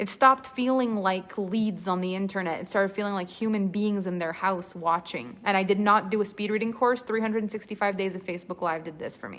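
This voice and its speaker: A woman's animated, medium-pitched voice in a French-Canadian accent, fairly quick with hardly any pauses, ordinary pitch variation and big swings in loudness, over noticeable background noise. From Quebec. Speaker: storytelling coach. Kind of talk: live online class.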